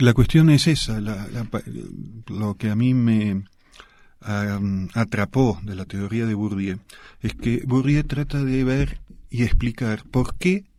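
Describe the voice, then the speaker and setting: A man's medium-pitched voice, dark and mellow in tone, very slow with long, frequent pauses. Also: very clean recording, silent background. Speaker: sociologist and author. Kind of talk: radio interview.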